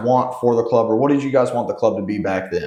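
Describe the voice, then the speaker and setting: There is audible room echo as a man talks at a moderate pace with ordinary pitch variation. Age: 20s. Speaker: podcast interviewer. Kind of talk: interview. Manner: casual.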